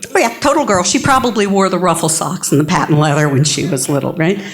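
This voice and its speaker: A somewhat breathy woman with an American accent, an animated tone and very wide pitch swings. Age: 50s. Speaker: keynote speaker, advocacy group regional director. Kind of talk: keynote talk.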